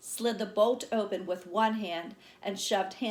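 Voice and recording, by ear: Someone is reading aloud. It is reading aloud in a natural voice.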